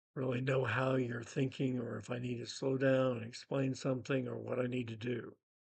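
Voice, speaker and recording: With an American accent, a man talks at a moderate pace in a somewhat breathy, medium-pitched voice with fairly even intonation. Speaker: retired teacher, spiritual memoirist. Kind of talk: spoken memoir narration.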